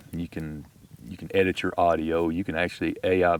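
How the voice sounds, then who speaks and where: Talking at a fairly quick pace, a man with a Texas accent has a very deep, low pitch. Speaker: outdoor YouTuber. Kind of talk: casual chat. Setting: outdoors.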